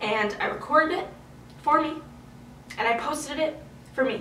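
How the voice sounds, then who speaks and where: A woman's lively intonation, with audible room echo and noticeable background noise. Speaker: youtuber and singer-songwriter. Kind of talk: casual vlog update. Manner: rambling, animated.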